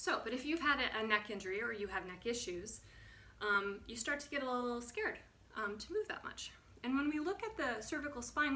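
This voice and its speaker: High-pitched female speech in an American accent, bright and sharp in tone, fairly quick, with audible room echo. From US Midwest. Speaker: movement and posture instructor. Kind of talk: tutorial. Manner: stuttering; casual.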